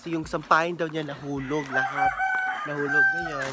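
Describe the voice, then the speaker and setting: A woman is speaking. Loud background noise is present. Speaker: vlogger. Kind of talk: casual vlog chat. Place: garden. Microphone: phone near.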